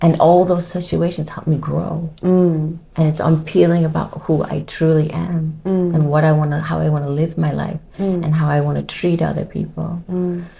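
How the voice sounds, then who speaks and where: In an American accent, a woman speaks with a very deep, low pitch and hardly any pauses. Her intonation is monotone and flat, with noticeable background noise behind her. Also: moderate pace. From United States. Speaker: model and TV personality. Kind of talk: interview answer.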